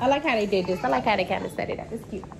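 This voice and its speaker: A woman's voice against crowd noise in the background. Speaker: family vlogger. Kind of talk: casual vlog chat. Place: home room. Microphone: phone near.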